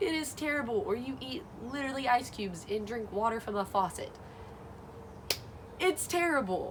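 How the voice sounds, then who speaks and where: A woman with an American accent speaks with lively intonation. Noticeable background noise runs underneath. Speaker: Bible study vlogger. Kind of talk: casual talk to camera. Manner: hesitant, some stuttering.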